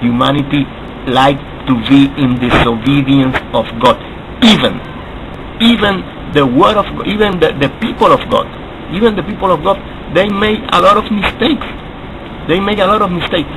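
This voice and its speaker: Amid noticeable background noise, a man with a high pitch and very wide pitch swings speaks at a moderate pace with long, frequent pauses. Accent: Spanish. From Latin America. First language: Spanish. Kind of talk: video response monologue. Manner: halting, repetitive.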